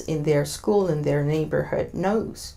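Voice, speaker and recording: A woman speaks at a fairly low pitch with a dark, mellow tone. Her pitch variation is ordinary. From Argentina. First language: Spanish. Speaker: diversity consultant. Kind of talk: interview. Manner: hesitant, many fillers.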